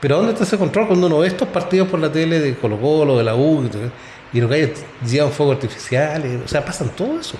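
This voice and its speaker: Speaking at a very fast pace with lively intonation, a man with a Chilean accent has a fairly high pitch, and noticeable background noise can be heard. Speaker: sports podcast host. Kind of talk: casual chat.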